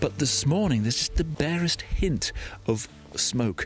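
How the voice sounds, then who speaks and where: A man whispering at a fairly quick pace, with music in the background. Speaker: hiker and podcast host. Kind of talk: audio diary. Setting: outdoors.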